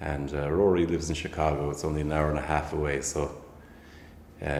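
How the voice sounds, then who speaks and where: Fairly quick, monotone, flat delivery in an Irish accent, with audible room echo. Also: man. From County Waterford, Ireland. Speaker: folk musician. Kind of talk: casual chat.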